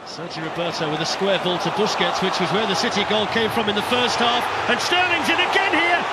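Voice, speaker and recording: Against noticeable background noise, a man talks at a fairly quick pace with an extremely high pitch and very wide pitch swings. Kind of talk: live football commentary, play-by-play over match highlights. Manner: fast, excitable, breathless play-by-play.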